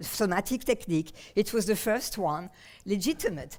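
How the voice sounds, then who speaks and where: A woman speaks with a French accent and lively intonation at a moderate pace. The recording is very clean, with a silent background. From France, Paris. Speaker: somatic therapist and researcher. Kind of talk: conference talk. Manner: halting, many fillers.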